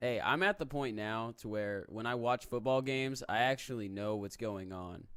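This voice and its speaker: A plain, everyday voice speaks at a moderate pace with ordinary pitch variation in a very clean recording with a silent background. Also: man. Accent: American. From Texas. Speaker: co-host reading chat. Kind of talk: casual live stream chat.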